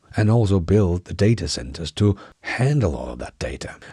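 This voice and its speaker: Over a very clean recording with a silent background, a man with a Danish accent speaks at a moderate pace with a fairly low pitch. His voice is somewhat breathy and dark and mellow in tone, with very wide pitch swings. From Denmark, Aarhus. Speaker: tech news YouTuber. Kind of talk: news commentary. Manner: enthusiastic.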